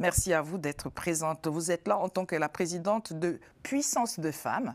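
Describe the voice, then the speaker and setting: In a normal speaking voice, a woman talks at a moderate pace with fairly low pitch, lively intonation and very even loudness, the sound dry and close with no echo on a very clean recording with a silent background. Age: 50s. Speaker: talk show host. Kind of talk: TV panel discussion. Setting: TV studio.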